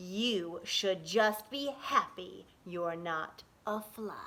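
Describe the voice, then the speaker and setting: Using a put-on character voice, a woman speaks at a very slow pace with a medium pitch. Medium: read story. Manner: menacing, smug.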